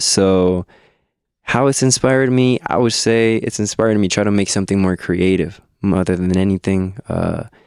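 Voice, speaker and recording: With a Spanish accent, a man talks fairly quickly at a fairly low pitch, keeping his loudness very even. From Mexico. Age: 20s. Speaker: musician. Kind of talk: interview. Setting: studio. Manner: halting.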